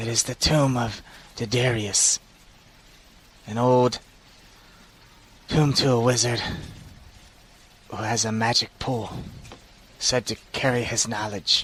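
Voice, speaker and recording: Using a put-on character voice, a man of medium pitch talks at a fairly slow pace with long, frequent pauses. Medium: actual play. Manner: blunt, flat, literal.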